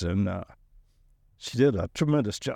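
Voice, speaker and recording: With a Southern US accent, a man speaks at a fairly low pitch and a moderate pace, his intonation lively, the sound dry and close with no echo, and the recording very clean over a silent background. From Alabama, US South.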